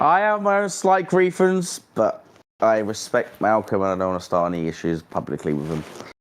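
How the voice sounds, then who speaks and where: Speaking with a British accent, a man keeps to a moderate pace. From Britain. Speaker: streamer. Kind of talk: casual chat.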